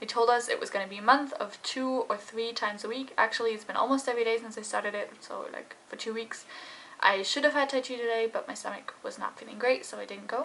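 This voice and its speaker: Over noticeable background noise, a woman talks very fast in a high voice with fairly even intonation. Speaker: vlogger. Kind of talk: casual vlog talk to camera.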